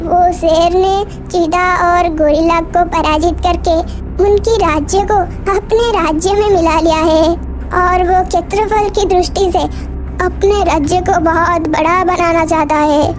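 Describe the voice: A cartoonish character voice at a fairly slow pace, set against loud background noise.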